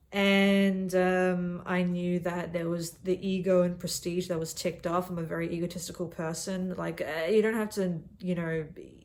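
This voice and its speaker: In an Australian accent, a woman with a fairly low pitch speaks in a monotone, flat intonation at a moderate pace, with hardly any pauses. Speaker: young consultant vlogger. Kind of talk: casual monologue vlog. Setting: in a cabin.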